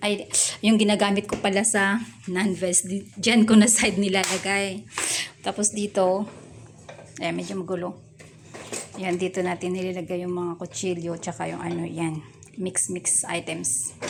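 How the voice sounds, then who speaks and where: A soft-spoken voice at a moderate pace, with fairly even intonation, long and frequent pauses, and noticeable background noise. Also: woman, medium pitch for a woman. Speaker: vlogger. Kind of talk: casual house tour vlog. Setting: home kitchen. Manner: soft-spoken, quiet.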